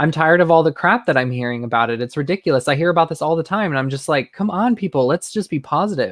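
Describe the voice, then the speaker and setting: Fast and animated, a man with a fairly high pitch and lively intonation speaks with hardly any pauses in a dry, close sound with no echo. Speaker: guest defending a friend. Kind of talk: casual chat.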